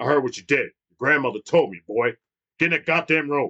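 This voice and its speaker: A man puts on a character voice. He talks at a fairly quick pace with a fairly high pitch. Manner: stern.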